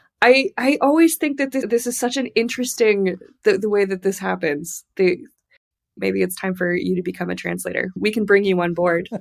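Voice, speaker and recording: An ordinary speaking voice with an American accent moves at a moderate pace with lively intonation. The recording is very clean, with a silent background. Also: woman, medium pitch for a woman. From US Southwest, Tucson, Arizona. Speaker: literary translator. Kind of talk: interview conversation. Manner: casual, filler-heavy with repetitions.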